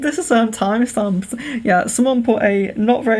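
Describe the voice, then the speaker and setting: A woman talks with a slight Liverpool accent over noticeable background noise. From Wirral, near Liverpool, England. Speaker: psychic medium doing palm readings. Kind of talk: live stream palm reading. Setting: live stream. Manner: clear, careful 'telephone voice' diction; hesitant with frequent fillers.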